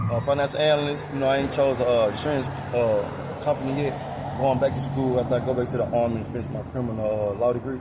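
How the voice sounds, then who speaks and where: Over noticeable background noise and audible room echo, a man at medium pitch speaks at a very fast pace with monotone, flat intonation. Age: 30s. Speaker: street interviewee. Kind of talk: street interview.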